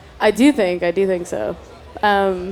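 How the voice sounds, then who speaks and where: The speaker has a Canadian accent, and there is noticeable background noise behind the voice. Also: woman. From Canada, Toronto. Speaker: singer. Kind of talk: casual interview. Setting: festival stage.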